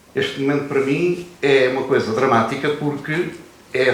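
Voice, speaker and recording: Against noticeable background noise and audible room echo, a man speaks at a fairly high pitch. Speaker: former soldier of the revolution. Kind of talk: panel talk at literary festival.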